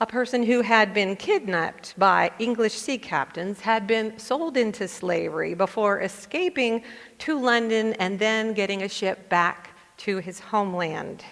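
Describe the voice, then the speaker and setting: Using an ordinary speaking voice, a woman speaks at a fairly high pitch and a fairly slow pace with ordinary pitch variation. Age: 60s. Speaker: pastor. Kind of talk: sermon.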